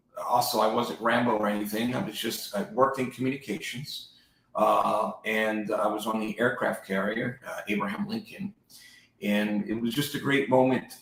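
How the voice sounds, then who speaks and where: In a New Jersey accent, a man talks at a moderate pace and medium pitch with ordinary pitch variation. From New Jersey and Puerto Rico. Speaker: real estate agent, former federal agent. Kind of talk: interview, life story. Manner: casual, with hesitations.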